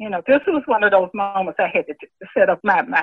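A woman with a Southern US accent talks very fast. Her medium-pitched voice has lively intonation. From Mississippi. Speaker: retired teacher and guidance counselor. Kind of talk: oral history interview.

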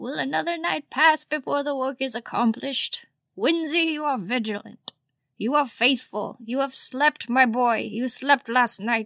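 A female-sounding voice, high for a woman, does a put-on character voice at a moderate pace. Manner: commanding yet weary.

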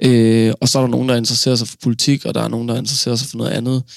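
A man talks at a very fast pace with monotone, flat intonation. The sound is dry and close, with no echo. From Denmark, Funen. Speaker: stand-up comedian. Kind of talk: interview. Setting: studio.

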